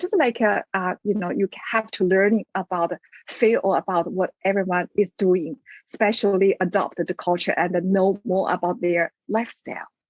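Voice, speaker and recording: A woman with a Chinese accent, medium pitch, fairly even intonation and very even loudness, moderate pace, dry, close sound with no echo. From China. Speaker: business owner, migrant. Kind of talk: interview. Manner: halting, many fillers.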